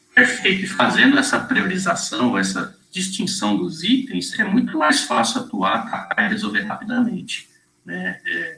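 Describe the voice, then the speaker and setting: Speaking at a fairly slow pace, a man talks with hardly any pauses. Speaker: webinar presenter, software sales consultant. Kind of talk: webinar presentation.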